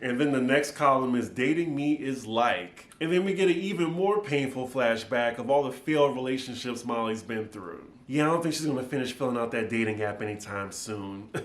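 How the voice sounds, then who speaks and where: With lively intonation and a medium pitch, a man talks over noticeable background noise. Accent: American. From New Orleans, Louisiana. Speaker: TV recap YouTuber. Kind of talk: casual talk to camera.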